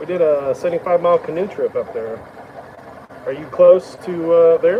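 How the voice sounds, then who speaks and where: A man with an Oklahoma accent, high-pitched, with ordinary pitch variation and a moderate pace, over noticeable background noise. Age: 50s. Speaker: woodturner. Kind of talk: live stream chat. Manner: casual, conversational.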